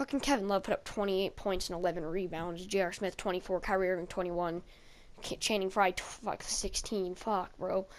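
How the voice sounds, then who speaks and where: A woman talks at a fairly quick pace with fairly even intonation on a very clean recording with a silent background. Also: medium pitch for a woman. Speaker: gaming YouTuber. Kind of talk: gameplay voice-over commentary. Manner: fast.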